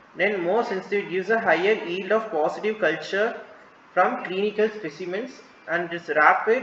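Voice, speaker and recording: Noticeable background noise runs through the clip. An audible room echo can be heard as well. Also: man, high pitch for a man, ordinary pitch variation. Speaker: medical lecturer. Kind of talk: lecture. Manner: fast; halting.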